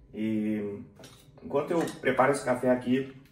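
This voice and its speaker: Medium-pitched male speech at a fairly slow pace, audible room echo around it. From southern Brazil, Porto Alegre area (Rio Grande do Sul). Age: 40s. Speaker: software QA professional and channel creator. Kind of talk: casual personal vlog while making coffee.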